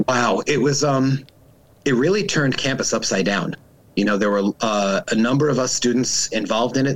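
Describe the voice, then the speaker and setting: The man's pitch varies in an ordinary way, and his pace is moderate. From Long Island, New York. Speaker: lawyer. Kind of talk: interview. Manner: hesitant, many fillers.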